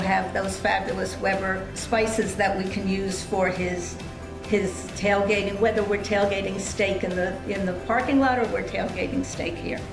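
Clear music plays in the background. A woman speaks at a fairly slow pace over it. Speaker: guest. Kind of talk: interview answer. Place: home room.

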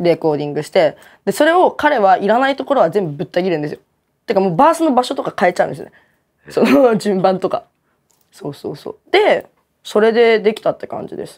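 A woman with a fairly high pitch talks at a very fast pace against a quiet background, her pitch swinging very widely and her loudness shifting in big swings. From Kanagawa, Japan. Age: 20s. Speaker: rapper. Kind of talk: interview answer. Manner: casual. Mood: relaxed, casual. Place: studio. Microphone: lapel.

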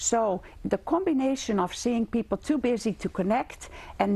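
A woman with a Dutch accent speaks at a fairly slow pace. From Netherlands. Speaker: gerontology lecturer. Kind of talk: interview. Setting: studio. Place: studio. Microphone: lapel.

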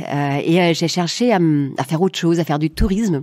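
A woman's fairly low voice at a moderate pace, with a German accent. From Germany, southwest wine region. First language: German (speaking French). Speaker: coach and negotiation consultant. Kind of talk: interview conversation.

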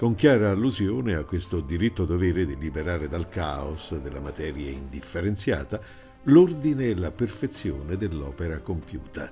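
Music plays in the background. The pitch swings very widely. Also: man. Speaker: broadcaster and documentary narrator. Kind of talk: documentary narration.

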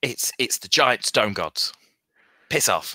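A man speaks in a raspy, put-on character voice. His pace is fairly slow. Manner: rude, dismissive.

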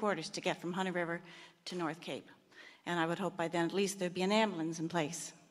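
A woman speaks at a fairly quick pace with fairly even intonation, in a Canadian Maritime accent. The background is quiet. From Prince Edward Island, Canada. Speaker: retired hospital administrator, audience member; audience member. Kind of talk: public question at meeting. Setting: microphone at public meeting. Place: hall.

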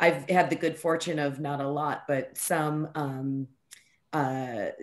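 The intonation is fairly even. The background is quiet. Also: woman. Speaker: academic researcher. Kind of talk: academic seminar discussion. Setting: video call. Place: home room. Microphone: webcam.

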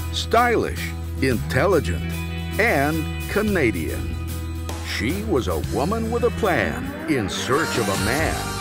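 Clear music plays in the background as a man speaks in an American accent. His pace is very slow and the sound is dry, with no echo. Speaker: voice actor. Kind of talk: movie trailer. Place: studio. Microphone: studio mic.

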